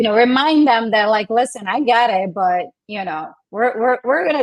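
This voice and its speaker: At a moderate pace, a woman speaks with a non-native accent. Her voice sits fairly high, with ordinary pitch variation. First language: not English. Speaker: podcast guest, small business owner. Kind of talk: casual podcast conversation.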